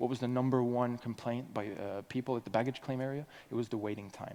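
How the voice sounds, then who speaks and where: Very fast and dark, mellow in tone, a man's voice holds a medium pitch with ordinary pitch variation. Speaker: conference speaker. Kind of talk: conference talk. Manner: animated.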